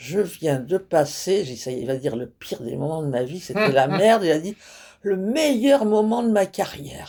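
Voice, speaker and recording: A woman with a dark, mellow tone and fairly low pitch speaks at a moderate pace, her pitch swinging very widely and her loudness shifting a great deal. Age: 80s+. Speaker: stand-up comedian. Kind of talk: interview answer. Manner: frank, humorous.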